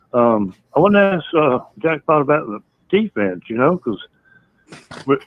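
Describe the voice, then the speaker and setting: In a Southern US accent, a man talks at a fairly slow pace. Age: 60s. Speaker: caller. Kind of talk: call-in chat. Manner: halting.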